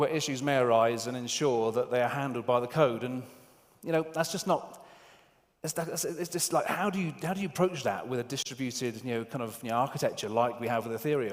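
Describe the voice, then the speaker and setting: With a British accent, a man talks at a fairly quick pace using ordinary pitch variation. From UK. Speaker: software tester, conference speaker. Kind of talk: conference talk. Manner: halting, many fillers.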